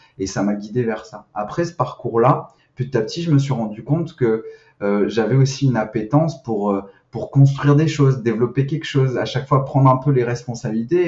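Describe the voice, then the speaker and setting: A man of medium pitch speaks fairly quickly, with ordinary pitch variation. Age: 30s. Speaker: sales manager in recruitment tech. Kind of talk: podcast interview. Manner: hesitant, many fillers and repetitions.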